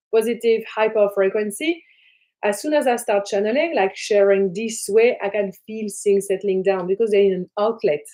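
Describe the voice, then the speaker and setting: A woman speaks with a French accent. Her tone is dark and mellow. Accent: French accent, noticeable. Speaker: spiritual teacher and trance channel. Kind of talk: live stream talk to viewers. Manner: animated.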